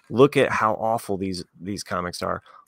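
A plain, everyday voice from a man, fairly low in pitch, at a moderate pace with ordinary pitch variation, in a dry, close recording with no echo. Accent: American. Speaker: podcast co-host. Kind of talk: casual chat. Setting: remote recording.

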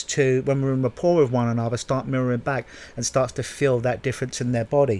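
A man speaks in a normal speaking voice at a medium pitch. His pace is fairly quick. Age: 30s. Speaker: podcast host, hypnotherapist. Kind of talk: solo podcast monologue. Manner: casual, conversational with fillers.

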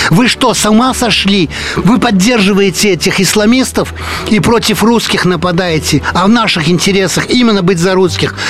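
Noticeable background noise runs behind a man speaking at a moderate pace with a high-pitched voice. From France, Paris. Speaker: journalist and émigré community leader. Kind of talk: radio interview. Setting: studio.

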